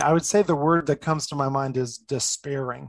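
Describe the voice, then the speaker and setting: A man with a normal speaking voice, fairly high in pitch, fairly even in intonation, moderate in pace, in a dry, close recording with no echo. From New Jersey, outside New York City. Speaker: life coach and former pastor. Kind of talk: interview conversation.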